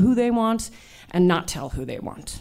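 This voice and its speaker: A woman talks at a moderate pace in an unremarkable speaking voice with ordinary pitch variation. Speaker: abortion doula and comedian. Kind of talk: personal story told on stage. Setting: stage with audience.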